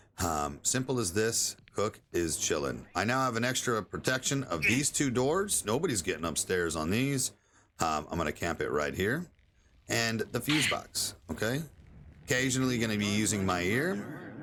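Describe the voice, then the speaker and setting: A man with vocal fry, medium pitch, a bright, sharp tone, very wide pitch swings, moderate pace and very even loudness, on a very clean recording with a silent background. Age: 30s. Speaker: gaming streamer. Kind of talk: gameplay tutorial. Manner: casual, filler-heavy. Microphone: new microphone.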